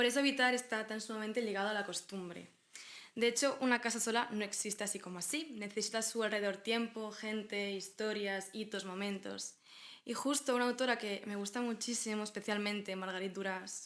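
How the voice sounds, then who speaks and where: With a Galician accent, the speaker moves at a fairly quick pace. The intonation stays fairly even. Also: woman, fairly high pitch for a woman. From Galicia, Spain. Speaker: podcast co-host. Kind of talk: casual conversational podcast discussion.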